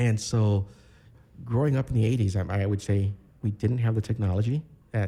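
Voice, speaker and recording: A man's voice has a dark, mellow tone. It sounds somewhat breathy. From Chicago, north side (Bucktown), Puerto Rican family. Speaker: architecture graduate and military veteran. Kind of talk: podcast interview. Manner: relaxed, many filler words.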